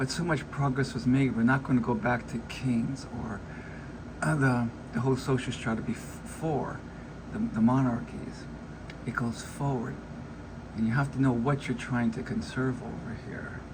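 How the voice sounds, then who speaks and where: A man of medium pitch with fairly even intonation and long, frequent pauses, amid audible room echo. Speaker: vlogger giving commentary. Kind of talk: casual monologue reacting to an article. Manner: fast; halting, with false starts.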